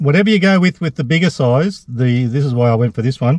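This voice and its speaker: A man speaks very fast in an Australian accent, at a medium pitch with a dark, mellow tone and lively intonation. The sound is dry and close with no echo, somewhat breathy, over a quiet background. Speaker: food vlogger. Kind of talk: casual food review vlog.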